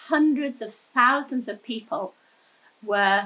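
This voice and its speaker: A woman with an English accent speaks in a bright, sharp tone, her fairly high pitch moving with ordinary variation. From England. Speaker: environmental activist. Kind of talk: interview.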